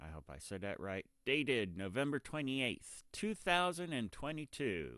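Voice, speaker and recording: Over a quiet background, a man with a bright, sharp tone and medium pitch speaks at a moderate pace, with very wide pitch swings and big swings in loudness. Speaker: political commentary YouTuber. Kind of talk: opinion commentary with news reading. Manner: hesitant, with ums.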